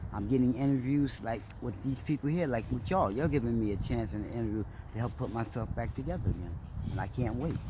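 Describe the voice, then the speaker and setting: A man with an American accent talks at a very fast pace in a medium pitch, with vocal fry. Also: ordinary pitch variation. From Trenton, New Jersey. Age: 60s. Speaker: homeless man. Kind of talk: interview.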